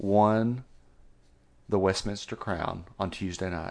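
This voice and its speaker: Against a quiet background, a man with an American accent and a fairly low pitch speaks at a very slow pace. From West Texas. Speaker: veterinarian, podcast co-host. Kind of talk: casual chat; reading aloud.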